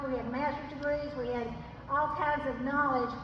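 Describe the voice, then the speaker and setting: A woman's high voice with fairly even intonation at a moderate pace, with audible room echo. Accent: Arkansas. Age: 80s+. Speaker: retired teacher and former state legislator. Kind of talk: political rally speech. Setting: addressing a live crowd. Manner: impassioned.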